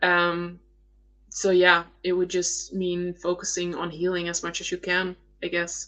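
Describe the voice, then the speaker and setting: A woman's medium-pitched voice with a bright, sharp tone, in a Dutch accent. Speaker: attachment style coach. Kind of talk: live Q&A stream. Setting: live stream. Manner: hesitant, many fillers.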